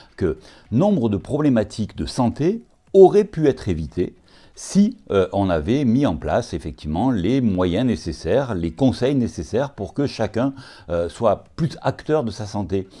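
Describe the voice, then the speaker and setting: At a fairly slow pace, a man with medium pitch and a dark, mellow tone speaks with very wide pitch swings. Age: 60s. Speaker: occupational physician. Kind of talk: interview. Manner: hesitant, many filler sounds.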